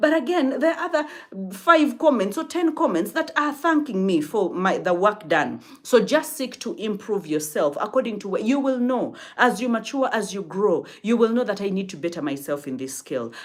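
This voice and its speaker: A woman with a fairly high voice and vocal fry takes a serious tone, her pitch swinging very widely. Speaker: life and relationship coach. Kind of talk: live-stream talk. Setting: live stream. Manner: fast.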